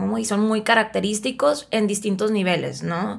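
A woman with a fairly high voice talks at a fairly slow speed. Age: 30s. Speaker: psychotherapist. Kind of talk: casual chat.

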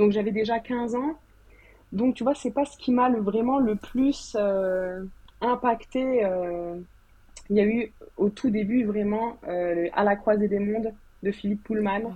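Speaking at a fairly slow pace with long, frequent pauses, a woman keeps her fairly high pitch on fairly even intonation. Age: 30s. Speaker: novelist. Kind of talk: casual chat. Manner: calm; soft-spoken.

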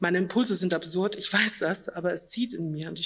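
A woman with an ordinary speaking voice, medium in pitch, at a fairly quick pace with fairly even intonation. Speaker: author. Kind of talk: reading aloud. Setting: stage with audience.

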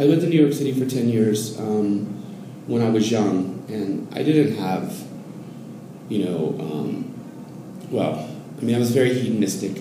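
A man talks with lively intonation at a moderate speed, accompanied by audible room echo and noticeable background noise. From US cities, later Oregon. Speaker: Zen Buddhism student. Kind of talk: casual interview conversation. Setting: in person, Mexico City. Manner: halting, many repetitions and fillers.

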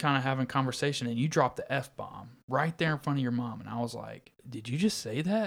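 A man with an American accent has a plain, everyday voice at medium pitch. He speaks at a moderate pace in a very clean recording with a silent background. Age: 20s. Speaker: podcast co-host. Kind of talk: casual chat.

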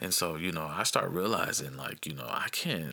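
A man speaks with an American accent at a moderate pace. His tone is bright and sharp, with vocal fry. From US Midwest, Dayton Ohio. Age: 30s. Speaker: podcast host. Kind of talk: casual monologue. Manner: rambling, hesitant with fillers.

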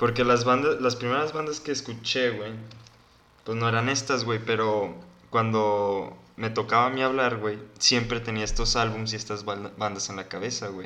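In a room with audible echo, a man speaks at a medium pitch with a bright, sharp tone and fairly even intonation. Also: moderate pace. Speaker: podcast co-host. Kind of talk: casual chat.

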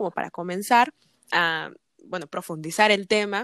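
The woman's voice comes through dry and close, without any echo. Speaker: podcast host. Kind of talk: interview.

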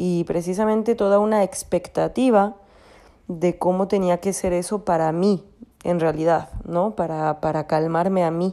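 A woman speaks at a fairly slow pace with a fairly low pitch and a dark, mellow tone. Her intonation stays fairly even. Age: 30s. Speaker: personal growth podcaster. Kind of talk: reflective monologue.

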